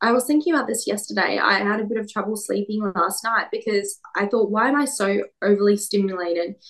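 A woman with an Australian accent at a fairly quick pace, with hardly any pauses. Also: medium pitch for a woman, ordinary pitch variation. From Perth, Western Australia. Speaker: beauty queen and media personality. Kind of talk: casual interview chat.

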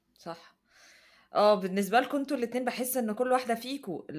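A woman with an Egyptian accent is heard on a very clean recording with a silent background. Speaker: podcast host, student living abroad. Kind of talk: casual chat, personal storytelling.

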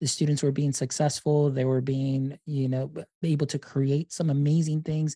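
In an American accent, a man speaks at a moderate pace in a fairly high, somewhat breathy voice with a dark, mellow tone, monotone, flat intonation and hardly any pauses, on a very clean recording with a silent background that is dry and close with no echo. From Deep South Texas. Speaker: instructional technologist and podcaster. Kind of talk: interview.

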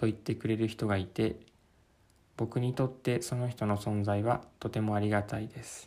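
This man's medium-pitched voice moves at a moderate speed with monotone, flat intonation. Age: 30s. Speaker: podcaster. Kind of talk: reading aloud. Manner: halting.

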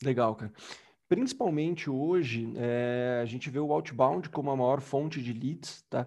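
A man at a fairly slow pace, with an unremarkable speaking voice. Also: medium pitch for a man, ordinary pitch variation. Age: 20s. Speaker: enterprise sales executive. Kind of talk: casual interview.

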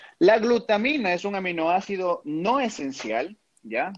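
A man is heard in a dry, close sound with no echo. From Ecuador, Pichincha (Quito area). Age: 20s. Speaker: supplement expert and fitness competitor. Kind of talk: interview.

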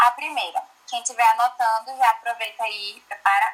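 A plain, everyday voice moves at a moderate pace. Its intonation is lively. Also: woman. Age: 20s. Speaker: church youth leader. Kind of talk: casual chat.

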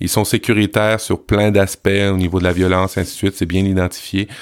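In a Quebec accent, a man talks at a fairly quick pace and a fairly low pitch, on a very clean recording with a silent background. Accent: Québécois French. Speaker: podcast creator. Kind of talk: casual podcast chat.

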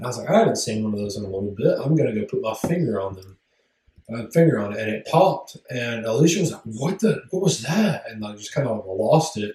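A man mumbles at a very fast pace, his medium pitch swinging very widely. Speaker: podcast co-host. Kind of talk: casual chat. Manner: mumbly.

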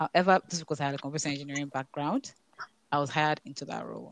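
A woman's voice comes through with a dry, close sound and no echo. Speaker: professional in tech policy and marketing. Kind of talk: casual panel discussion. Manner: fast talker.

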